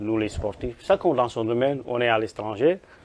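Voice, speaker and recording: Fairly slow speech with a Senegalese accent. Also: man. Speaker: football coach. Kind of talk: interview. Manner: repetitive, stammering restarts.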